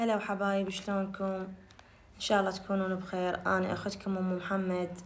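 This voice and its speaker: A woman speaks with an Iraqi accent at a moderate pace and a medium pitch. Her intonation is flat and monotone, and the room echo is audible. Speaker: cooking channel host. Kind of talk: cooking tutorial.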